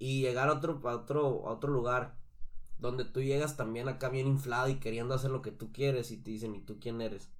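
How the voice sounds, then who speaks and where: Speech at a fairly quick pace with fairly even intonation comes through with audible room echo. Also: man, medium pitch for a man. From Mexico, Sonora. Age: 20s. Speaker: singer. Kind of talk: casual interview chat.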